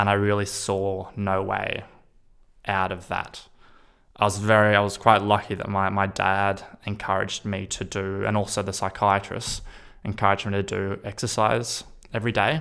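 On a very clean recording with a silent background, a man with an Australian accent speaks at a moderate pace, fairly low in pitch, his tone bright and sharp and his intonation monotone and flat. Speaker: person sharing lived experience of psychosis. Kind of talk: personal testimony.

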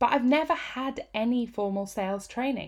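In a northern Midlands accent, a woman speaks high-pitched with lively intonation over a very clean recording and a silent background. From England, Peak District. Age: 30s. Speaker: business coach and author. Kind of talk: reading aloud from own book. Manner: animated.

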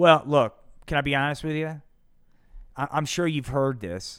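An animated man's voice, fairly high in pitch, at a moderate pace with ordinary pitch variation. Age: 50s. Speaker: podcast host and military veteran. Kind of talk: casual live-stream monologue with call-ins. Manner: profane, rambling.

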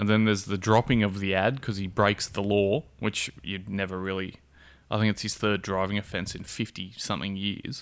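A man with an Australian accent talks at a fairly quick pace in a fairly low pitch, on a very clean recording with a silent background. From Perth, Australia. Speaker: co-host. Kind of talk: casual comedic banter.

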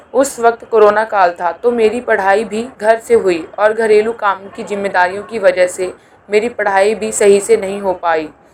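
A woman's medium-pitched voice with fairly even intonation over noticeable background noise. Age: 20s. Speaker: community podcast host. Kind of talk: personal testimony.

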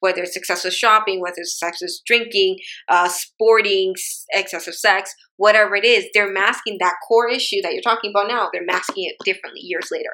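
The woman has a bright, sharp tone at medium pitch. She talks at a fairly quick pace with fairly even intonation. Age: 30s. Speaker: podcast host. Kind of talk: casual chat.

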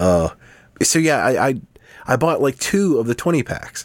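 The sound is dry and close, free of any echo. A man talks at a moderate pace. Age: 30s. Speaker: podcast co-host. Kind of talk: casual chat. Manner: halting.

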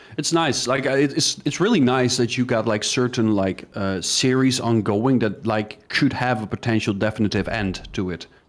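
A man at medium pitch and moderate pace, with ordinary pitch variation and hardly any pauses. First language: not English. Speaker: gaming youtuber. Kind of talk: casual chat.

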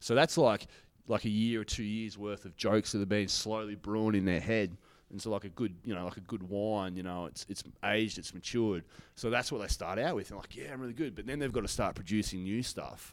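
A man talks at a fairly quick pace with an Australian accent and a fairly low pitch. His pitch variation is ordinary, and the recording is very clean with a silent background. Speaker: stand-up comedian. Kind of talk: casual chat. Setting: comedy venue back room. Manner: fast.

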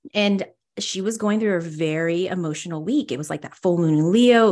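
Over a quiet background, a woman with a normal speaking voice speaks at a fairly quick pace and a medium pitch, using ordinary pitch variation. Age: 40s. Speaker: spiritual medium and energy healer. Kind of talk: casual chat.

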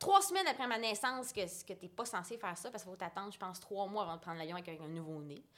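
A woman talks at a very fast pace with hardly any pauses and big swings in loudness. Her voice sits at medium pitch with ordinary pitch variation. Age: 20s. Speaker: visual artist and entrepreneur. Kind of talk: casual interview.

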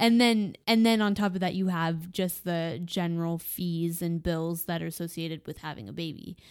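A woman's ordinary speaking voice at a fairly low pitch, moderate pace and ordinary pitch variation, with hardly any pauses, on a very clean recording with a silent background. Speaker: podcast guest, host's wife. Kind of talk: casual chat.

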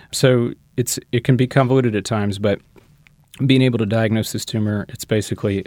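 The man speaks with an American accent at a fairly quick pace, in an unremarkable speaking voice with fairly even intonation. The sound is dry and close, with no echo. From US South, Shreveport, North Louisiana. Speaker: interventional radiologist. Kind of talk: interview.

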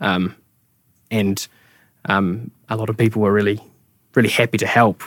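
A man's fairly low, monotone voice with a New Zealand accent, at a moderate pace with long, frequent pauses. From Taranaki, New Zealand. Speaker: architect, studio co-founder. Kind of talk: casual interview conversation.

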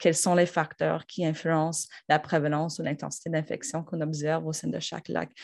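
A woman speaks at a moderate pace in a very deep, low pitch with vocal fry and monotone, flat intonation. The background is quiet. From Quebec, north shore of Montreal. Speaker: university professor. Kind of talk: interview. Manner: hesitant, many fillers.

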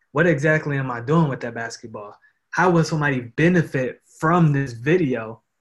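At a moderate pace, a man speaks in a fairly high, somewhat breathy voice whose pitch varies in an ordinary way. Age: 20s. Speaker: social media marketer and photographer. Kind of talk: casual interview chat.

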